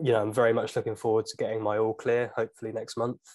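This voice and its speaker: A man speaks at medium pitch with a British accent. The background is quiet. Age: 20s. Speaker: YouTuber. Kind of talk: casual chat.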